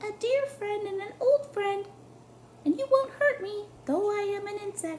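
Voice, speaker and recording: Soft-spoken and squeaky, this put-on character voice is extremely high in pitch and moves at a moderate pace over clear background noise. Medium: read story. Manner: soft, close to the ear.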